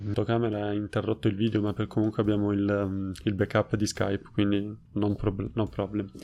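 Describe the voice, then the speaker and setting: The speech comes at a moderate pace in a monotone, flat intonation over a quiet background. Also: man, fairly low pitch for a man. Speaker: Italian language YouTuber. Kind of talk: casual interview chat. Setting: video call.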